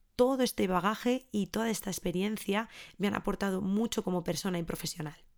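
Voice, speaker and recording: On a very clean recording with a silent background, a woman speaks at a medium pitch. Her pace is fairly quick. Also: ordinary pitch variation. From Spain, Ávila. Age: 30s. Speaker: podcast host and early music educator. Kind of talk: scripted monologue.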